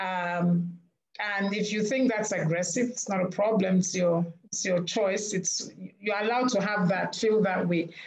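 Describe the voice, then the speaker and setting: At a fairly slow pace, a woman talks with fairly even intonation. Her pitch sits in the medium range. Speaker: panel moderator. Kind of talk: panel discussion. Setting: video call.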